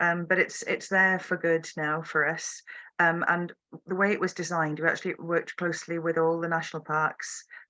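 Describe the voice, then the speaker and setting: A woman speaks at a fairly quick pace with a fairly low pitch and a bright, sharp tone. Her intonation is monotone and flat against a quiet background. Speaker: tourism marketing official. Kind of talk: online Q&A panel.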